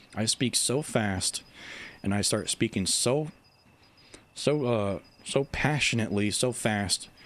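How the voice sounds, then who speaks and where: The recording is very clean with a silent background, and a man speaks very slowly with long, frequent pauses. His pitch is medium with ordinary variation, and his loudness stays very even. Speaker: video game YouTuber and livestreamer. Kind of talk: casual livestream chat. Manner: stumbles over words.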